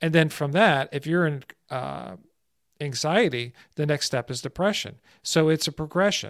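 With an American accent and a plain, everyday voice, a man speaks at a moderate pace and a fairly high pitch with ordinary pitch variation, in a very clean recording with a silent background and a dry, close sound with no echo. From New Jersey, US. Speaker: stress prevention expert. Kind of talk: casual interview.

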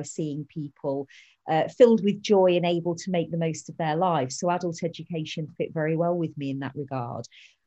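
A woman with a British accent speaks in a fairly low pitch with a dark, mellow tone. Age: 40s. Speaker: family learning coach. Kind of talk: interview.

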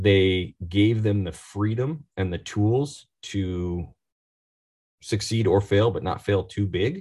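Speaking very slowly in an American accent, a man has a fairly low pitch, ordinary pitch variation, a somewhat breathy, dark and mellow tone, and a quiet background. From Oregon, US Pacific Northwest. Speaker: marketing executive. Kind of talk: interview.

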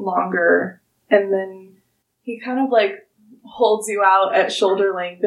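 The speaker does plain reading aloud. Pitch variation stays ordinary over a quiet background.

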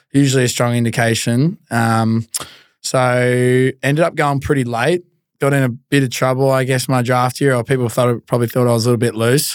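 A man with an Australian accent talks at a medium pitch with fairly even intonation, in a very clean recording with a silent background and a dry, close sound with no echo. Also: fairly quick pace, very even loudness. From Australia, Melbourne. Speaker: former pro footballer. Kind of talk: casual chat.

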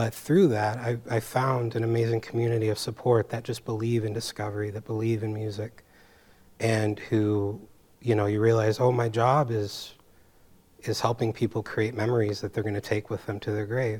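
Somewhat breathy speech with monotone, flat intonation comes through in a very clean recording with a silent background. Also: man, medium pitch for a man, moderate pace. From San Francisco Bay Area. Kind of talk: panel discussion.

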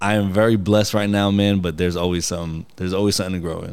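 A man speaks very fast with an American accent. His very deep, low voice stays monotone and flat. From New York. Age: 30s. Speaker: guest. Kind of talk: casual chat.

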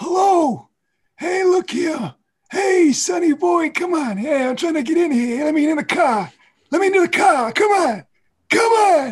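In a put-on character voice, a man speaks at a moderate pace with an extremely high pitch. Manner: gruff, pleading.

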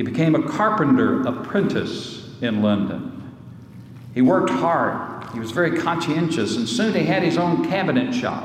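A man's high-pitched voice with very wide pitch swings amid noticeable background noise. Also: moderate pace. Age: 60s. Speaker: pastor. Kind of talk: sermon. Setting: church.

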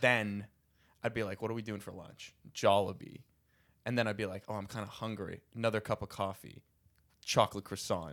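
With an American accent, a man speaks at a fairly quick pace and a fairly low pitch, with big swings in loudness. He leaves long, frequent pauses, and the recording is very clean with a silent background. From US Northeast, Philadelphia. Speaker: stand-up comedian. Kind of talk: casual chat. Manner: animated.

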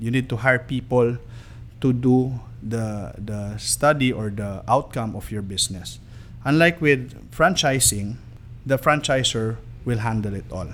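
A man with a Filipino accent at a fairly slow pace, long pauses coming often, his loudness swinging widely. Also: medium pitch for a man, ordinary pitch variation. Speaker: marketing executive. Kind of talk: promotional business talk. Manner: polite, code-switching Taglish.

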